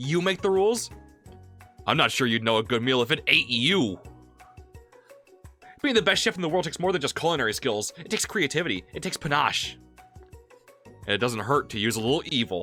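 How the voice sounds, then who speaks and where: Faint music plays behind a man doing a gruff, put-on character voice, fairly high in pitch with very wide pitch swings, moving at a fairly quick pace yet with long, frequent pauses. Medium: virtual streamer.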